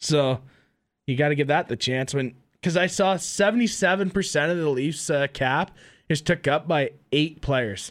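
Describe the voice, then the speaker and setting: A man with an Ontario accent speaks at a moderate pace with a fairly high pitch and ordinary pitch variation. His loudness stays very even, and the recording is very clean with a silent background. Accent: Canadian (Ontario). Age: 20s. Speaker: hockey podcast co-host. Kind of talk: casual chat.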